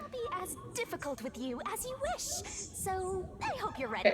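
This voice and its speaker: A put-on character voice at an extremely high pitch comes through over loud background noise. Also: moderate pace. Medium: machinima. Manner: teasing, playful.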